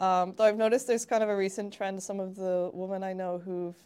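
A woman's very fast, monotone delivery with a Canadian accent, medium in pitch, dark and mellow in tone, the intonation flat throughout. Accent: Canadian, often taken for American. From Canada. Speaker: jiu-jitsu competitor and public health researcher. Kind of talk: casual chat.

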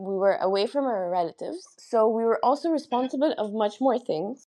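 Speaking at a moderate pace, a woman with an Arabic accent has a dark, mellow tone and a fairly high pitch. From Egypt, raised partly in London and Qatar. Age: 20s. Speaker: construction engineer, cancer support platform founder. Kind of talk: interview testimony.

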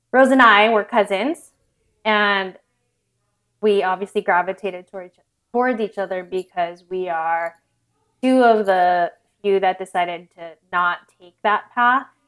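The speaker has an American accent and ordinary pitch variation. There are long, frequent pauses and big swings in loudness. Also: woman, medium pitch for a woman, moderate pace. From Southern California. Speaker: entrepreneur, co-founder and author. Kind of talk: interview conversation.

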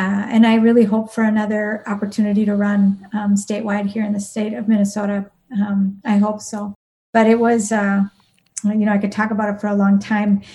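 A woman speaks with an Upper Midwest accent at a medium pitch and a fairly quick pace. Her intonation stays monotone and flat. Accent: Upper Midwest American. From southern Wisconsin. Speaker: nurse and politician. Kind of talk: podcast interview.

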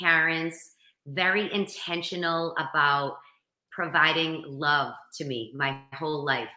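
A woman speaks in a strong Boston accent. Her very deep, low pitch comes with a bright, sharp tone. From Boston area, Massachusetts. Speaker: motivational speaker and coach. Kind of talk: interview.

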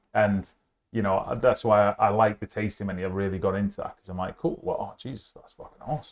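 In a Yorkshire accent, a man talks at a fairly quick pace with big swings in loudness. His fairly low pitch varies in an ordinary way. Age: 40s. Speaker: podcast host, food supplier. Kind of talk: casual chat. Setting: on location at a hotel.

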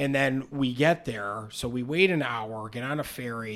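A man with an ordinary speaking voice, medium pitch, fairly even intonation and a fairly slow pace. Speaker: podcast host, aspiring stand-up comedian. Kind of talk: casual chat.

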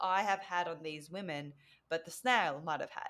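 A woman's fairly low voice with an Australian accent and fairly even intonation. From Australia (Victoria), Vietnamese parents. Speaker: mentor and speaker, former physiotherapist. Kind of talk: podcast interview. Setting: remote call.

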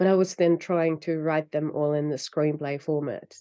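This is a woman with a Finnish accent. She speaks at a moderate pace. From Finland. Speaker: novelist. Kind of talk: interview.

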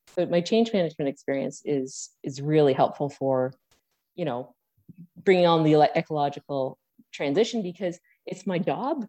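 With a very deep, low pitch and a dark, mellow tone, a woman speaks at a moderate pace and with lively intonation, in a dry, close sound with no echo. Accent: Ontario. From Hamilton, Ontario. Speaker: mayoral candidate and party leader. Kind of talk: interview.

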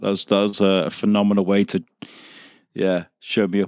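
In a very clean recording with a silent background and a dry, close sound with no echo, a man with an English accent speaks at a fairly low pitch. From North Wales, Wrexham. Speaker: podcast network owner. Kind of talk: casual chat.

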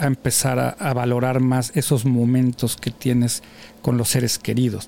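A man's dark, mellow tone at a moderate pace. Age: 50s. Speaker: podcast host. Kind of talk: casual chat. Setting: studio.

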